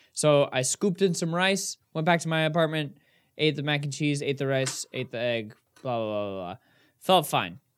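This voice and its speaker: Against a very clean recording with a silent background, a man with a fairly high pitch uses a normal speaking voice, lively intonation and a moderate pace. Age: 20s. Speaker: podcast co-host. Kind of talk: casual chat. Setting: video recording.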